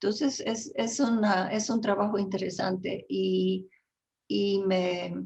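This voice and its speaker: This woman's voice sits at a medium pitch with ordinary pitch variation and some vocal fry. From Flemish Belgium. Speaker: writer and translator. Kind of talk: interview. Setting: video call.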